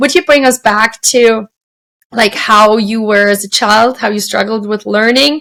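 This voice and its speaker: This woman has a non-native accent and a bright, sharp tone. She talks at a fairly slow pace with an animated tone and ordinary pitch variation. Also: fairly high pitch for a woman. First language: not English. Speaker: podcast host. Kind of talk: interview podcast conversation.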